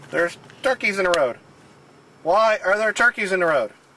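This man uses a put-on character voice pitched high. He talks at a fairly quick pace. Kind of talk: casual talk to camera. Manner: exasperated.

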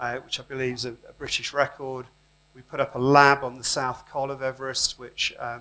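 This man's speaking pace is moderate. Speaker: conference speaker. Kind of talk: lecture. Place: hall.

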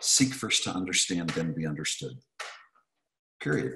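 Light background noise is heard as a man speaks. His voice has vocal fry. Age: 50s. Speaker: real estate coach. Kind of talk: webinar presentation. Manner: animated. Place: home room. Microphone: video call.

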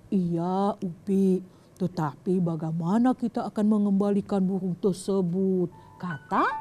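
Over music in the background, a woman speaks at a fairly slow pace with fairly even intonation and very even loudness. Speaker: storyteller host. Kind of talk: storytelling to children. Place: studio.

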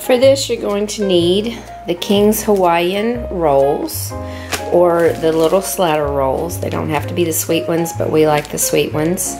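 Fairly slow female speech over clear music in the background. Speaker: home cook vlogger. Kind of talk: casual cooking tutorial. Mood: friendly, lighthearted. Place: kitchen. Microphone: camera far.

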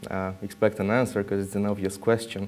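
Over music in the background, the speaker rushes at a very fast pace in a Romanian accent with monotone, flat intonation. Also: man. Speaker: security researcher. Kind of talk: conference talk. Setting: stage with audience.

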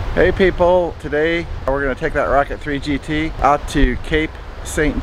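A man at a fairly slow pace with fairly even intonation, dry sound with no echo, and noticeable background noise. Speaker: motorcycle vlogger. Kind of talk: casual vlog chat. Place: beach. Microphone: phone near.

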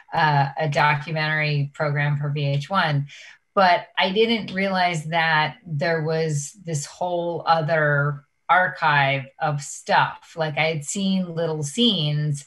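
A woman with a very deep, low pitch speaks at a very slow pace and with fairly even intonation over a quiet background. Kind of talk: interview answer. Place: home room. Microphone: webcam.

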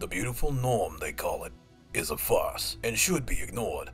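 The pace of this man's speech is fairly slow. Behind him, music plays.

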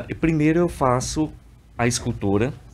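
The voice has a dark, mellow tone and ordinary pitch variation. Light background noise can be heard. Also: man. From Piauí, Brazil (Parnaíba); Piauí, Brazil. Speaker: visual artist; guest. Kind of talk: TV interview. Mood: calm, explanatory. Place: studio. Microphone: studio mic.

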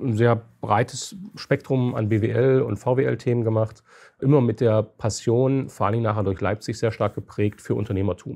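Against a quiet background, a man speaks at a fairly slow pace in a dark, mellow tone with fairly even intonation. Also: medium pitch for a man. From eastern Germany, Halle (Saale). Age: 40s. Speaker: company founder and CEO. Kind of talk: interview.

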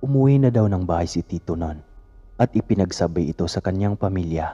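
Dark and mellow in tone and somewhat breathy, a man talks at a moderate pace with a dry, close sound and no echo. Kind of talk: ghost story telling.

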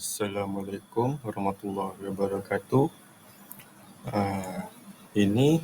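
The pace is very slow. Noticeable background noise runs throughout. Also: man. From Batu Pahat, Johor, Malaysia. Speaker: student. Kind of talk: class presentation. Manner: halting, with fillers.

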